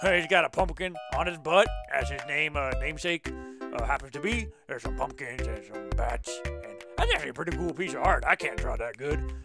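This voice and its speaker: Over clear background music, a put-on character voice talks at a fairly quick pace. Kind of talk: comedic game review show hosting. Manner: casual, rambling, laid-back.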